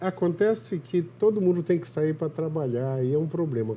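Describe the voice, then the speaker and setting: A man speaks at a moderate pace with lively intonation. His fairly high voice is somewhat breathy. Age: 60s. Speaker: TV health show host, physician. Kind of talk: interview. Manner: conversational.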